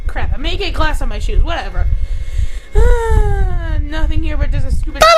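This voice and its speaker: Over loud background noise, someone does a put-on character voice at an extremely high pitch and a moderate pace. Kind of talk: comic overacting. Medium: fan dub. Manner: exclaiming, cursing, flustered.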